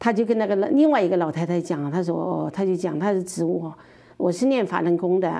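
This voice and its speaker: Dark, mellow tone from a woman at a fairly quick pace. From Sichuan (Chongqing). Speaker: interview guest sharing personal story. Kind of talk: testimony.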